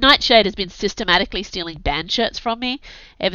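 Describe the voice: Ordinary pitch variation colors this plain reading aloud.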